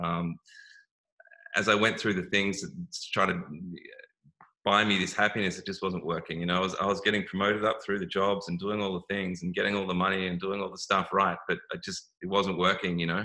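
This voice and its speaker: A man speaks fairly quickly with an Australian accent, his pitch fairly low. His tone is bright and sharp, and his intonation stays monotone and flat. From Australia, Melbourne. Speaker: wellness business owner. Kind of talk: interview. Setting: live video stream. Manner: halting, many fillers and repeats.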